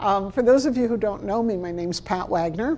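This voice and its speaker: A woman at a medium pitch with a Chicago accent, a fairly quick pace, lively intonation and a dark, mellow tone. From Chicago, South Side. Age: 60s. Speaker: library trainer and consultant. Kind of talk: workshop lecture.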